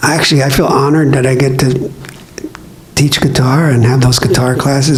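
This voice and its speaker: Here a man with an American accent talks at a fairly high pitch with fairly even intonation. Audible room echo and noticeable background noise are present. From US West, East Los Angeles. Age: 70s. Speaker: radio DJ and guitar teacher. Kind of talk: talk to an audience. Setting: public library event with audience. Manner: halting, with repeated words.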